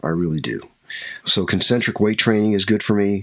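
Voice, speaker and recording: In an American accent, a man with a very deep, low voice talks at a fairly quick pace with ordinary pitch variation. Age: 60s. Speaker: skydiving instructor and army veteran. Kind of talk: interview, casual chat.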